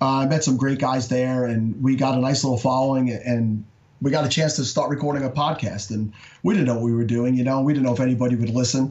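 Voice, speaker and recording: A man speaks at a very fast pace with a medium pitch. His intonation is fairly even and his loudness very even. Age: 40s. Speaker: fantasy football podcaster. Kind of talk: casual interview.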